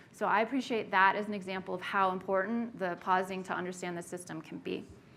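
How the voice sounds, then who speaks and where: A woman talks very fast with fairly even intonation in a bright, sharp tone. Audible room echo surrounds her voice. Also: medium pitch for a woman. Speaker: workshop facilitator. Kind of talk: lecture. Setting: meeting room with audience.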